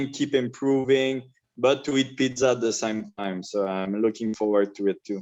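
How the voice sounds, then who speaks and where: A man with a French accent speaks at a moderate pace, his medium pitch showing ordinary variation. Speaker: mixed martial arts fighter. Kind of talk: interview. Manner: halting.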